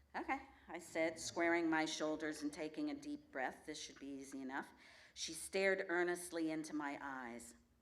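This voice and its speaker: Moderate-paced speech with audible room echo. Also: woman, very deep, low pitch for a woman, ordinary pitch variation. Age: 60s. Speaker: storyteller. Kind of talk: live storytelling performance. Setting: stage with audience.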